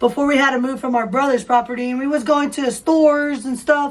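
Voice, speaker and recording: A woman talks at a high pitch and a fairly quick pace. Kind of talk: casual chat.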